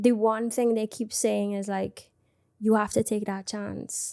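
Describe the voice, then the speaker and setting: A woman speaks at a fairly high pitch in a monotone, flat intonation. The recording is very clean, with a silent background. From Trinidad. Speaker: singer and content creator. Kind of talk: casual interview chat.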